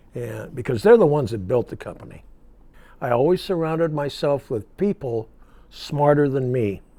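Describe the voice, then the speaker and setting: A man's dark, mellow voice with an American accent, fairly high in pitch, lively intonation at a moderate pace, on a very clean recording with a silent background. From Iowa, US Midwest. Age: 80s+. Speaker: insurance business founder. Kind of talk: interview answer.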